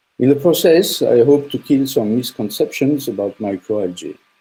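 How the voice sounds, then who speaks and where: With a strong French accent, a man speaks in a dark, mellow tone. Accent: French, thick. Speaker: startup CEO and engineer. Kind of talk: presentation talk.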